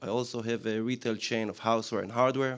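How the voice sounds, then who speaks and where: A man speaks at a very fast pace. He has an Israeli accent. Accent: Israeli accent, self-described lousy. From Israel, Jerusalem. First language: Hebrew. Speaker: business owner pitching. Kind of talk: business pitch presentation.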